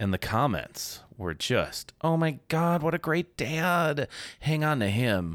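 Very slow speech comes from a man with lively intonation. The recording is very clean, with a silent background. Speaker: stay-at-home dad and comedian. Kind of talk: casual interview chat. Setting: studio.

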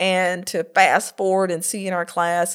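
A woman with an American accent, medium pitch, on a very clean recording with a silent background. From US South, north Florida (Greenville). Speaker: college vice president. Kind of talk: interview. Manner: energetic.

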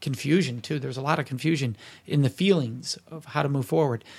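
In a very clean recording with a silent background, a man with a fairly high pitch and ordinary pitch variation talks at a moderate pace, sounding somewhat breathy. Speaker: consent educator and author. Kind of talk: interview. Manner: articulate, practiced speaker.

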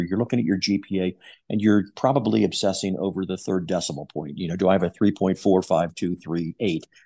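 Over a quiet background, a man with an American accent talks at a very fast pace in a very deep, low pitch. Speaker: psychology professor. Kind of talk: interview.

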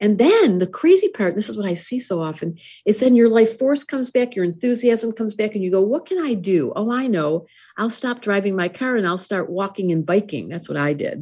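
A woman's somewhat breathy, medium-pitched voice, fairly quick in pace with lively intonation, over a quiet background. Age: 60s. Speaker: astrologer and author. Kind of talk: interview.

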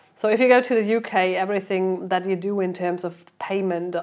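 In a German accent, a woman speaks at a medium pitch and a moderate pace with fairly even intonation. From Germany. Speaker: PR and marketing head. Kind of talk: interview.

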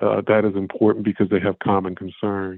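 A man with an American accent, a fairly low pitch and monotone, flat intonation. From US, Philadelphia. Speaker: tech industry executive, Navy veteran. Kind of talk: interview. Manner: halting, many fillers and repeats.

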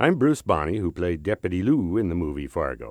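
A man with a Minnesota accent talks at a moderate pace in a very deep, low pitch with vocal fry and very wide pitch swings. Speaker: actor. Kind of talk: scripted narration.

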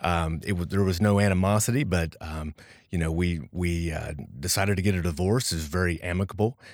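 In a very clean recording with a silent background, a man with a very deep, low pitch speaks at a fairly quick pace with ordinary pitch variation. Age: 40s. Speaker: entrepreneur and business strategist. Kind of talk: casual interview chat. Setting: studio.

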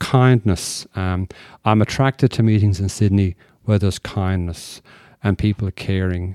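In an Irish accent, a man speaks with a fairly low pitch and a dark, mellow tone. The sound is dry and close with no echo, on a very clean recording with a silent background. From Ireland. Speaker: recovering alcoholic speaker. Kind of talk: testimony. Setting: stage with audience.

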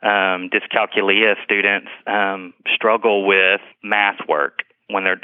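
In a fairly low, monotone voice with flat intonation, a man speaks at a fairly slow pace. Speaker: school assistant director. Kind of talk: interview answers. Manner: halting, many ums.

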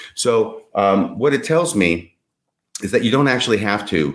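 A man's fairly low voice carries along at a fairly quick pace. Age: 60s. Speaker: podcast guest discussing religious history. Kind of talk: casual chat. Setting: video call.

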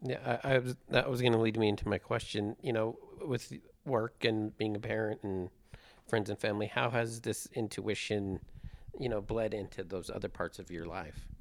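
In a plain, everyday voice, a man speaks at a moderate pace, fairly low in pitch with ordinary pitch variation. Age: 40s. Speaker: podcast host. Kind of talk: casual chat. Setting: studio.

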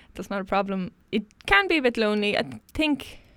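A woman speaks in a western Irish accent on a very clean recording with a silent background. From Ireland, County Mayo (Westport). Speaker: engineer and solo sailor. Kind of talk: interview.

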